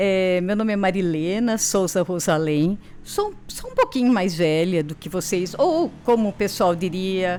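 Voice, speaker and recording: A woman speaks at a fairly slow pace with hardly any pauses, her pitch medium and its variation ordinary, over noticeable background noise. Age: 60s. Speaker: university professor of education. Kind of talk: interview chat.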